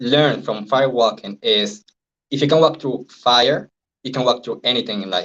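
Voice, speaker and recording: A speaker with a Venezuelan accent talks at a fairly quick pace. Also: man. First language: Spanish. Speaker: NLP and hypnosis trainer, life coach. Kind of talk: interview. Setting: live stream.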